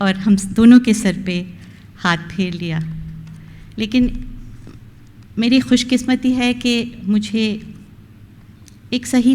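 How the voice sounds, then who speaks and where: A woman speaks at a medium pitch with a dark, mellow tone. Her intonation is lively and her voice is somewhat breathy. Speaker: retiring college principal. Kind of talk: farewell speech.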